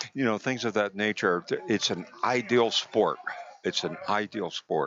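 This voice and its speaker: A man with an American accent, fairly low pitch, ordinary pitch variation and a fairly slow pace, over noticeable background noise. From New Jersey. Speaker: physical therapist, guest commentator. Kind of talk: live sports commentary chat. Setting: live tournament venue. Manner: hesitant, filler-heavy.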